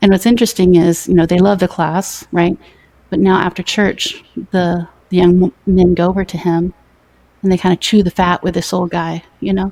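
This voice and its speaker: In an American accent, a dark, mellow voice goes at a fairly quick pace with long, frequent pauses and monotone, flat intonation, in a dry, close sound with no echo. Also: woman, medium pitch for a woman. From US South. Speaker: YouTuber and mother. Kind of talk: casual chat. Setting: live stream interview. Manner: loud.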